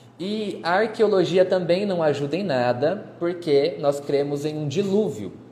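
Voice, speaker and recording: With lively intonation and a high pitch for a man, he speaks at a fairly slow pace amid audible room echo. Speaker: history teacher. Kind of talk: lecture. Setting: live stream.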